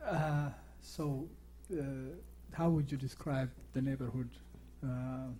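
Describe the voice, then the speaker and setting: Speaking very slowly with long, frequent pauses, a man with an African accent has a medium-pitched, dark, mellow tone that is somewhat breathy, with fairly even intonation. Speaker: TV talk show host. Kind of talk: interview. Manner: halting.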